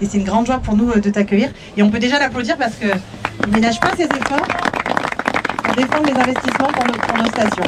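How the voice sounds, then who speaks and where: Crowd noise in the background behind a woman at a very fast pace, fairly high in pitch, with ordinary pitch variation. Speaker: mayor. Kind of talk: public speech. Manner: loud.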